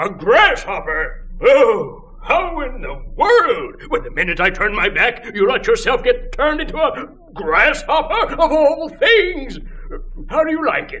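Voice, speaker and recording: The man's put-on character voice sits extremely high and goes at a fairly slow pace. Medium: read story. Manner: hearty, chatty.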